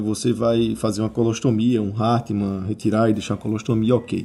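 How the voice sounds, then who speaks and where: A man speaks at a fairly quick pace. His voice has a medium pitch and a dark, mellow tone. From Brazil, Natal. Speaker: surgical oncologist. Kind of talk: interview.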